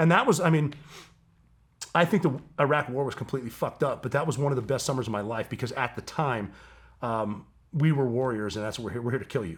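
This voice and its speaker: At a very fast pace broken by long, frequent pauses, a man speaks at a medium pitch in a somewhat breathy, animated tone with lively intonation, on a very clean recording with a silent background. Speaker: former special operations soldier. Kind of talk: casual interview conversation.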